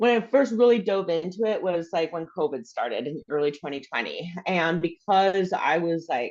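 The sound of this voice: A woman's fairly low, slightly mellow voice with lively intonation at a moderate pace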